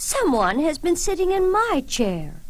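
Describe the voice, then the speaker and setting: A put-on character voice at a fairly slow pace. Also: woman. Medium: read story.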